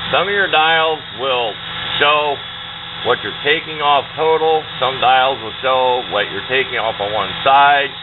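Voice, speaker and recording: A fairly slow pace over noticeable background noise. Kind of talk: tutorial. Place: workshop. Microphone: camera far.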